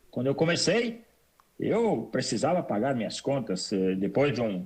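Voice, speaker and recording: Using vocal fry, a man talks at a fairly slow pace with very wide pitch swings. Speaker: immigrant entrepreneur. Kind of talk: interview. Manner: repetitive hesitant.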